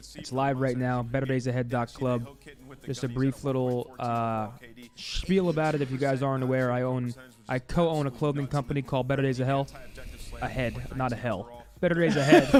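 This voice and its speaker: Medium-pitched male speech at a fairly quick pace, with music in the background. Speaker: streamer hosting a watch party. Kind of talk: casual chat. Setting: live stream. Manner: fast; animated.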